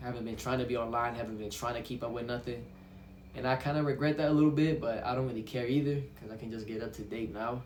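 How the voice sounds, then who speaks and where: A man talks at a very fast pace, at a medium pitch with fairly even intonation. Audible room echo and noticeable background noise accompany him. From Brazil. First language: Portuguese. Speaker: vlogger. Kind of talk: casual monologue vlog. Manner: halting, with restarts.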